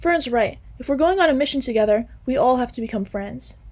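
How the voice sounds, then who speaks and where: Putting on a character voice, a woman speaks high-pitched and at a fairly quick pace. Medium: read story. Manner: bubbly, eager.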